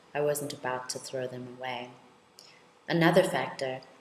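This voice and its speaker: In a room with audible echo, a woman talks at a moderate pace with fairly even intonation. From South Africa, Soweto. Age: 30s. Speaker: law lecturer and researcher. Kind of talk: personal testimony.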